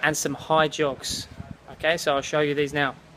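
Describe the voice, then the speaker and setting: Speech at a moderate pace in a South East London accent. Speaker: personal trainer. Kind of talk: workout tutorial.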